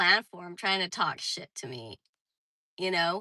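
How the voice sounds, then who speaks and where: A woman's raised, projected voice comes across bright and sharp, in a dry, close sound with no echo. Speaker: livestreamer. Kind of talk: casual chat.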